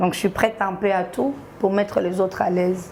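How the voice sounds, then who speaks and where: This woman talks at a fairly quick pace, her medium pitch carried by fairly even intonation. Noticeable background noise runs under her voice. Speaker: social media comedian. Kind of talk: TV interview.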